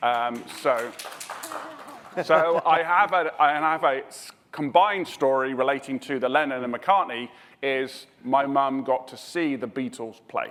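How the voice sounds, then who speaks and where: Over noticeable background noise, a man with a fairly high voice talks fairly slowly, his pitch varying in an ordinary way while his loudness swings widely. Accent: British. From southwest England. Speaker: emergency response expert, panelist. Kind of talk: panel discussion.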